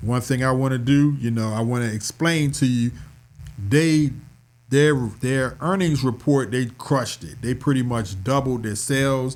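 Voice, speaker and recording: Here a man speaks at a moderate pace and medium pitch with ordinary pitch variation, in a normal speaking voice. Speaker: stock market educator and DJ. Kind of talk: tutorial. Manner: casual.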